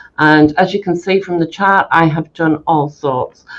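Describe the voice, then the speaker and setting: With a British accent, a woman speaks at a fairly low pitch with fairly even intonation. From UK. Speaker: mental health nurse educator. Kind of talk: conference presentation. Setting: stage with audience.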